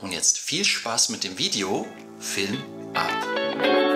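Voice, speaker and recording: A man speaks over clear music in the background. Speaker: travel vlogger. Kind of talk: video intro to camera. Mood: friendly, upbeat. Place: studio.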